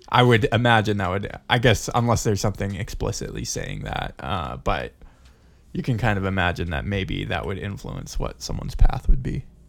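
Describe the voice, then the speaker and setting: A man talks with lively intonation. His voice has vocal fry. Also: moderate pace, very clean recording, silent background. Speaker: podcast host. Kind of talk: casual chat.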